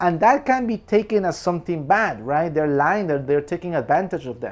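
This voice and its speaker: A man speaks with a Spanish accent. His pace is fairly quick and his intonation lively. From Peru. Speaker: film commentator. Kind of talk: film review monologue. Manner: casual, with repetitions and restarts.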